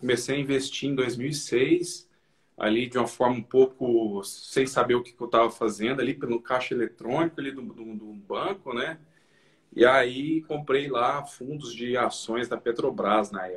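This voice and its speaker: At a moderate pace, a man speaks at medium pitch with ordinary pitch variation and big swings in loudness. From Minas Gerais, Brazil. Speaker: finance educator, investor. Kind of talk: live stream interview. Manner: halting, repeats words.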